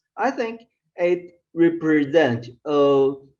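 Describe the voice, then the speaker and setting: A woman with a Chinese accent speaks at a very slow pace. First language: Mandarin Chinese. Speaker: professor. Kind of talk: lecture. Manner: halting, many fillers.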